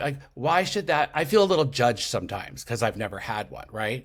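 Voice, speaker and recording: A man with a medium pitch speaks in an animated tone at a fairly quick pace. The recording is very clean, the background silent. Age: 60s. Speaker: podcaster and intuitive. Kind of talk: podcast interview.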